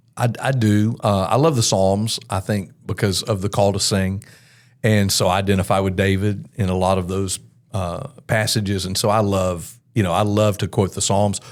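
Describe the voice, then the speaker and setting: A man with an American accent has an ordinary speaking voice and a fairly low pitch, talking at a moderate pace. The recording is very clean with a silent background. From US South, Mobile, Alabama. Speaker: worship pastor. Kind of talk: podcast interview.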